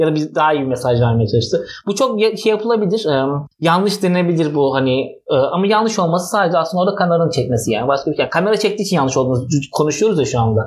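At a very fast pace, a man speaks in a high pitch. His pitch swings very widely. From Istanbul, Turkey. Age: 30s. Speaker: actor. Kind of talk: casual chat. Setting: home living room.

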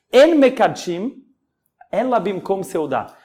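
A man speaks with lively intonation. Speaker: rabbi and podcast host. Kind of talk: religious talk. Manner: casual.

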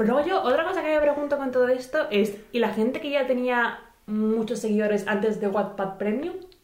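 The lively intonation moves at a moderate pace, with audible room echo and noticeable background noise. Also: woman, high pitch for a woman. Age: 20s. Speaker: podcast co-host. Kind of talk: casual chat.

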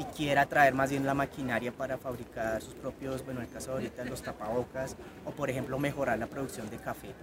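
A man at a medium pitch, speaking very fast in a monotone, flat intonation, with noticeable background noise. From Colombia. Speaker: former Spanish teacher in China, Chinese culture representative. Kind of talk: interview and hands-on demonstration.

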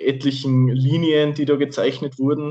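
At a moderate pace, a man with a slight Austrian accent speaks at a fairly high pitch. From Austria, Salzburg. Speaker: podcast co-host, Formula 1 fan. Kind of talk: casual chat.

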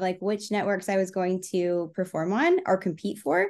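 It is a plain, everyday voice with an American accent. The pace is moderate. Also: woman, quiet background. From Texas. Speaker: speed painter and performance artist. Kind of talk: interview, casual chat.

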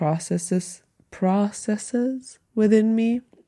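In a German accent, a woman speaks at a very slow pace with a dark, mellow tone and ordinary pitch variation on a very clean recording with a silent background. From Germany. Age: 20s. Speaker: podcaster and aspiring actress. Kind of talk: casual unedited solo monologue. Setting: bedroom, solo recording. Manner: halting, reflective.

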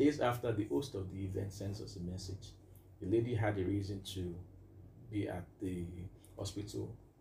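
A man's dark, mellow tone with vocal fry, long, frequent pauses and audible room echo. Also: fairly low pitch for a man, ordinary pitch variation, moderate pace. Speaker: music producer and minister. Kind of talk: casual interview.

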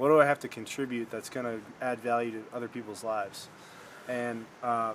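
Over noticeable background noise, a man talks at a fairly quick pace with an American accent. His intonation is fairly even. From Michigan. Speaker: podcast host. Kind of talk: casual chat. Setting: front porch at home.

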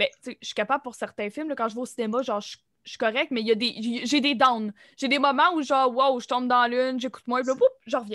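Very fast and high-pitched, a woman talks in a bright, sharp tone with a dry, close sound and no echo. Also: fairly even intonation, big swings in loudness, very clean recording, silent background. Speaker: cégep student, podcast host. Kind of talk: casual chat.

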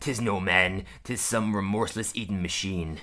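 A put-on character voice comes through at a moderate pace. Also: man, fairly low pitch for a man. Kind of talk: archaic sailor speech.

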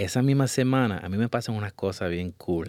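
A man speaks in an unremarkable speaking voice at a fairly low pitch and moderate pace. The recording is very clean, with a silent background. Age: 30s. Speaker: photographer. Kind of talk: interview.

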